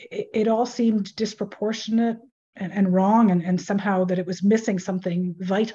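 A woman speaks at a moderate pace and a medium pitch, with a dark, mellow tone and a somewhat breathy quality. Her intonation is fairly even, and the background is quiet. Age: 60s. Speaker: author. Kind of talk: interview.

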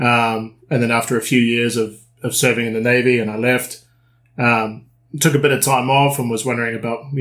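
This man speaks at a fairly quick pace with a New Zealand accent. His medium-pitched voice stays monotone and flat. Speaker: dive instructor and dive trip operator. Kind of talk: casual interview.

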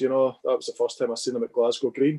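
A man with a Dundee accent, the sound dry and close with no echo. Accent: Scottish (Dundee area). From Scotland. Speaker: music photographer. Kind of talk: casual chat. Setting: video call.

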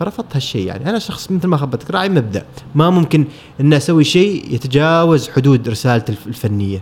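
Noticeable background noise sits behind a man speaking at a moderate pace. His fairly high voice swings very widely in pitch. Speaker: photographer. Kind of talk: casual interview.

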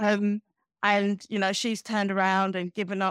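Speaking with a British accent at medium pitch and a moderate pace, a woman is heard in a dry, close sound with no echo on a very clean recording with a silent background. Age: 40s. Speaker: magazine founder, former hospitality worker. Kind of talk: interview.

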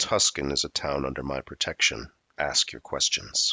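Booming and very deep, a man's put-on character voice moves at a moderate pace. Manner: authoritative, commanding.

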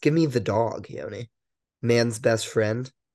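A man speaks in a plain, everyday voice at medium pitch. His intonation is fairly even. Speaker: podcast co-host, student. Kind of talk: casual chat. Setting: remote call.

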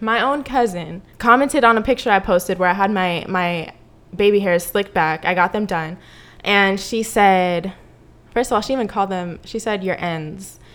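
This woman has a plain, everyday voice with an American accent and a medium pitch. She speaks at a moderate pace with ordinary pitch variation. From US, Mexican-Cuban heritage. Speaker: podcast co-host. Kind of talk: casual chat.

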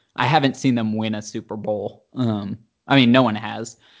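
This man has an unremarkable speaking voice with an American accent and a medium pitch. He talks fairly slowly with fairly even intonation. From US South, Charlotte, North Carolina. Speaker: sports fan guest. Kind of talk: casual chat.

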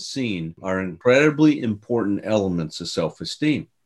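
Against a quiet background, a man with a fairly low pitch uses a normal speaking voice with lively intonation. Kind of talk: casual conversational podcast discussion.

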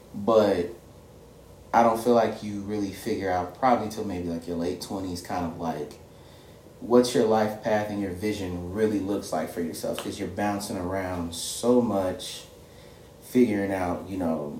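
With an American accent, a man talks at a moderate pace in a fairly low pitch and fairly even intonation, with noticeable background noise and audible room echo. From Indiana, Michigan City. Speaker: podcast guest co-host. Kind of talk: casual chat.

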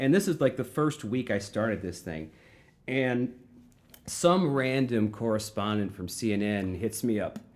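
Speaking at a fairly slow pace, a man with an unremarkable speaking voice and medium pitch uses lively intonation. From Florissant, St. Louis area, Missouri. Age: 40s. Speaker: punk musician and vegan activist. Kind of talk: casual chat.

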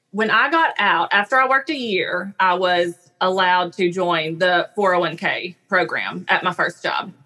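Speech in a Southern US accent unfolds at a fairly slow pace. Loudness stays very even, and pitch varies in an ordinary way. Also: woman, medium pitch for a woman. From US South. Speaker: speech-language pathologist. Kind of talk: interview conversation.

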